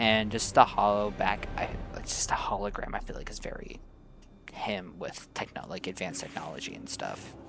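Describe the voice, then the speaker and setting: A man is whispering, with big swings in loudness. Audible room echo surrounds him. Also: moderate pace. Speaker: gaming YouTuber. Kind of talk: gameplay commentary. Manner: casual, rambling with fillers.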